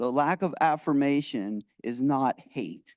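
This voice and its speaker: The recording is dry and close with no echo, over a quiet background. A man speaks at a fairly high pitch with ordinary pitch variation. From US, Lancaster County, Pennsylvania. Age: 60s. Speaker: township supervisor. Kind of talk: public meeting statement. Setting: township board meeting. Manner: halting, many repetitions.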